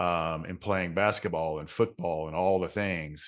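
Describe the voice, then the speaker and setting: In a Southern accent, a man speaks with a very deep, low pitch and a monotone, flat intonation. The pace is moderate and the background quiet. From US South, Georgia (Clayton County, south Atlanta). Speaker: mindset coach and author. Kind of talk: podcast interview.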